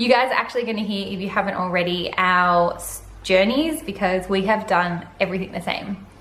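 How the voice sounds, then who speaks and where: The voice has an animated tone and ordinary pitch variation, moving at a fairly quick pace with hardly any pauses and big swings in loudness, amid audible room echo and noticeable background noise. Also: woman, medium pitch for a woman. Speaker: vlogger. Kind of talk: casual vlog monologue. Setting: home living room.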